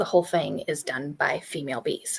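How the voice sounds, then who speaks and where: The soft-spoken voice has vocal fry and lively intonation at a moderate pace. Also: woman. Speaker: homesteading channel host. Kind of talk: casual chat.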